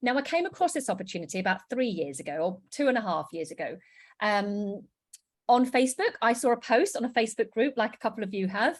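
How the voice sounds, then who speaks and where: In a British accent, a woman with a fairly high pitch races along at a very fast pace, her pitch swinging very widely. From UK. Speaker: network marketing presenter. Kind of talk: sales pitch.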